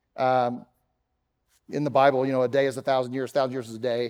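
With an American accent, a man talks at a fairly quick pace, recorded very clean against a silent background with a dry, close sound and no echo. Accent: Texan, mostly suppressed. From Texas, Dallas. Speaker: pastor. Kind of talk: sermon. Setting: church.

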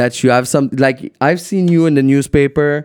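In a French accent, a man speaks at a moderate pace in a fairly high voice with fairly even intonation. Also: dry, close sound with no echo. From Quebec City. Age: 20s. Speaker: DJ and producer. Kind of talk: casual chat. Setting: studio.

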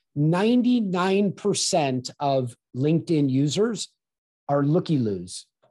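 Over a quiet background, a man with an American accent speaks in a dark, mellow tone that is somewhat breathy. His pitch swings very widely. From Southern California. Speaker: sales and video marketing consultant. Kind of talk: interview.

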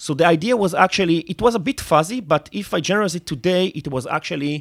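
Here a man speaks very fast with an Israeli accent and lively intonation. The recording is very clean and silent behind him, with a dry, close sound and no echo. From Israel, Netanya. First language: Hebrew. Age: 30s. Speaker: tech entrepreneur. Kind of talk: interview. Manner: halting, frequent fillers.

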